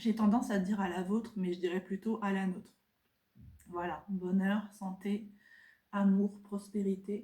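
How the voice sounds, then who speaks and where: A woman speaks in a somewhat breathy, dark, mellow tone at a medium pitch, with monotone, flat intonation. Her pace is fairly slow, with long, frequent pauses. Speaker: craft and lifestyle vlogger. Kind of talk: casual chat. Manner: soft-spoken; halting.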